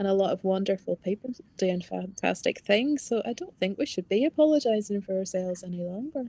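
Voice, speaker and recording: With a Northern Irish accent, a woman talks at a fairly quick pace with hardly any pauses, using a medium pitch and lively intonation in a dry, close sound with no echo. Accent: Northern Irish, strengthening. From Northern Ireland, Ballymena. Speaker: novelist. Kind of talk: book festival conversation.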